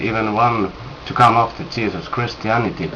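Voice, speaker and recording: Over noticeable background noise and audible room echo, a man with a non-native accent speaks at a fairly low pitch. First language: not English. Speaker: religious video maker. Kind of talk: scripture commentary reading from notes. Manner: halting, many fillers.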